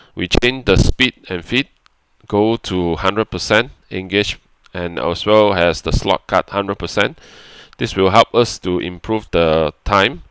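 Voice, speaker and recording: Recorded dry and close with no echo, a man talks at a fairly slow pace with fairly low pitch and ordinary pitch variation. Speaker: CAM software instructor. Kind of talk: tutorial. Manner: halting.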